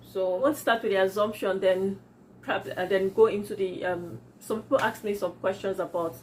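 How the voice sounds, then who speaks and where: A woman is speaking. She talks with a Yoruba accent. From Nigeria. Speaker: YouTuber, entrepreneur. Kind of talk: casual vlog Q&A. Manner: halting.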